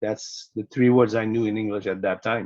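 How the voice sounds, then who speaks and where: Delivered at a moderate pace in a Quebec accent, the speech is monotone and flat in intonation, with a dry, close sound and no echo. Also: man. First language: French. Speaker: sport psychologist. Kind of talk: podcast interview.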